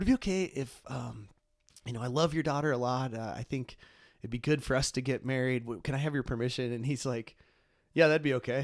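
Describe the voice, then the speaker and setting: The voice has a US Midwestern accent. Its pitch variation is ordinary. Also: man, medium pitch for a man, fairly quick pace. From Ohio, US Midwest. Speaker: podcast host, grief ministry director. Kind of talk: casual conversation. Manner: fast; many fillers and repetitions.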